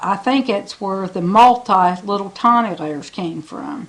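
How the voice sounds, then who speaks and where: A woman with a plain, everyday voice and an American accent speaks at a fairly slow pace in a medium pitch. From Smith Island, Maryland (Chesapeake Bay). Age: 60s. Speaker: home baker. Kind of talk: interview monologue. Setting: at home.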